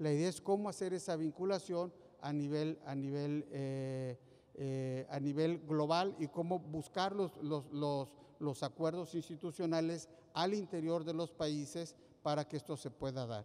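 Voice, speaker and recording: Fairly high-pitched man with a dark, mellow tone, fairly even intonation and a moderate pace. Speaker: session co-chair; conference presenter. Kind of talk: conference panel moderation. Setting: conference room with audience. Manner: halting.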